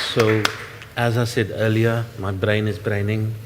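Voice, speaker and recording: A man's fairly low voice at a fairly slow pace, with noticeable background noise. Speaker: workshop moderator. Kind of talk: panel moderation. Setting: workshop with live and online audience. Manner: loud.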